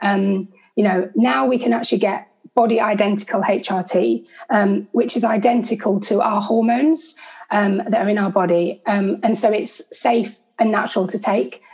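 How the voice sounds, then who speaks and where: The voice is somewhat breathy and moves at a moderate pace. Pitch varies in an ordinary way, and loudness stays very even. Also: woman, medium pitch for a woman. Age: 40s. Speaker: nutritional therapist. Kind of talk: interview.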